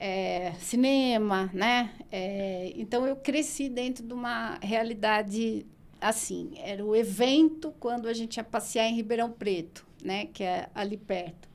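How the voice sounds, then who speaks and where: In a very clean recording with a silent background, a woman with a fairly high voice speaks very slowly, with hardly any pauses and ordinary pitch variation. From São Paulo state interior (Araraquara), Brazil. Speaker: nutritionist and postgraduate coordinator. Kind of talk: podcast interview. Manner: conversational, many fillers.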